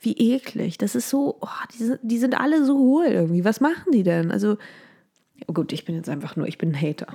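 A woman's fairly high voice at a fairly quick pace, full of very wide pitch swings. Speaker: podcast host. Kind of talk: casual solo gossip monologue. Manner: animated, switches pitch for impressions.

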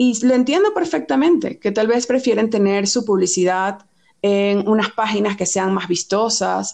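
A woman's fairly high voice with a Venezuelan accent and lively intonation. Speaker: fashion and beauty editor. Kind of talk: podcast interview.

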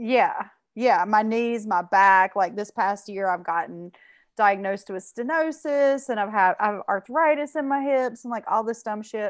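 A woman uses an ordinary speaking voice, fairly high in pitch with ordinary pitch variation, at a moderate pace against a quiet background. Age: 40s. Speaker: guest. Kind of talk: casual conversation.

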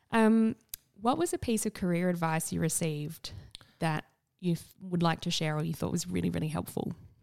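A woman with a South Australian accent at a fairly quick pace. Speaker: podcast host. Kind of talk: casual interview chat.

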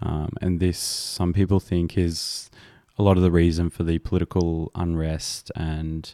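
A man speaks very slowly with an Australian accent, his pitch very deep and low and his tone dark and mellow. The sound is dry and close with no echo, on a very clean recording with a silent background. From rural Australia. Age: 20s. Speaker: podcast host. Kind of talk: casual chat.

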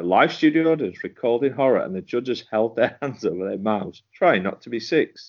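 A man with an unremarkable speaking voice talks at a medium pitch and a fairly quick pace, with hardly any pauses. His intonation is lively, and his loudness swings widely. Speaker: co-host. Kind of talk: casual banter podcast chat.

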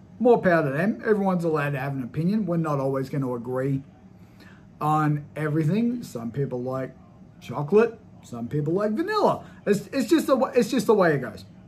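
With very wide pitch swings, a man moves at a fairly quick pace as noticeable background noise sounds behind him. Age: 30s. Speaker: podcast host and movie reviewer. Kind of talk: solo movie review monologue. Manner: casual, with frequent fillers.

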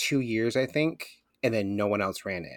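This man talks with a Michigan accent, a fairly low pitch and ordinary pitch variation. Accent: Midwestern American (Michigan). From Michigan, Flint. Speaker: podcast host guest. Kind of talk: casual chat. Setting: video call.

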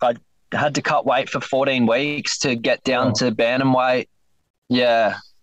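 This man speaks fairly slowly, at a medium pitch for a man, with very even loudness. His intonation is monotone and flat. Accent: Australian. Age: 20s. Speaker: MMA fighter. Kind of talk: interview. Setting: phone call from inside his van. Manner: soft-spoken.

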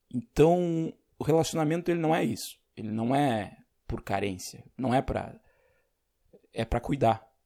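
Lively intonation from a man at a medium pitch, a dark, mellow tone, a fairly slow pace with long, frequent pauses. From Rio Grande do Sul, Brazil. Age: 30s. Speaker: podcast host. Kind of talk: solo monologue podcast. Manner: casual, unscripted.

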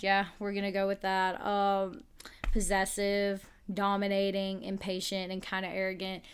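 Monotone, flat intonation at a moderate pace. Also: woman, medium pitch for a woman. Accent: Southern US. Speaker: podcast host. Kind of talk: casual chat.

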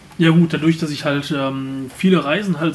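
Here a man talks with fairly even intonation. There is noticeable background noise. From Germany, Remscheid. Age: 20s. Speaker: podcast co-host, advertising agency owner. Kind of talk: casual chat.

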